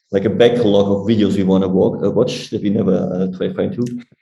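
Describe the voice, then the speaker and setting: A man is speaking with music in the background. The room echo is audible. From Germany. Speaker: Android engineer. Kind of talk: interview. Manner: fast.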